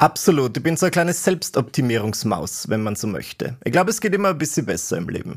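A man talks at a very fast pace with vocal fry. His fairly high pitch moves in very wide swings. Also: hardly any pauses. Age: 20s. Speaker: comedian and internet creator. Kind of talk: casual chat.

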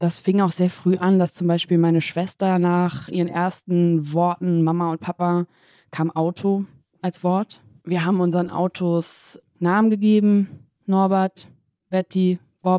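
In a very clean, dry, close recording with no echo and a silent background, a woman speaks slowly, at a fairly slow pace, with a dark, mellow tone, fairly low pitch, monotone, flat intonation and very even loudness. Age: 30s. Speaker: environmental campaigner. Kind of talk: interview and studio debate.

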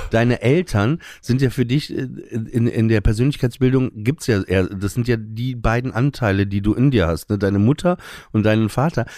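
A man's dark, mellow voice at medium pitch and moderate pace, with ordinary pitch variation, on a very clean recording with a silent background. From northern Germany, Emsland. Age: 40s. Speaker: stand-up comedian. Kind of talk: casual interview.

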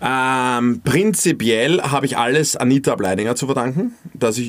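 With lively intonation, a man talks at a moderate pace and medium pitch in a normal speaking voice. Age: 20s. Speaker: influencer and radio presenter. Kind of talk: casual chat.

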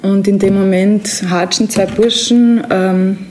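The speaker is a woman. Noticeable background noise runs beneath her voice. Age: 20s. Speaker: prison inmate. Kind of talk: interview testimony.

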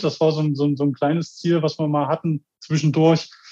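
With a normal speaking voice, a man delivers fairly even intonation at a fairly high pitch and a moderate pace. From Germany. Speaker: death metal band member, toolmaker. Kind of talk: interview.

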